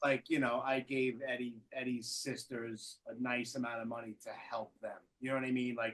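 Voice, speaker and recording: A man in a Brooklyn accent, medium-pitched and monotone, at a moderate pace with hardly any pauses. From Brooklyn, New York. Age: 40s. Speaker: podcast host. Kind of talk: casual chat. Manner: halting, repeats words.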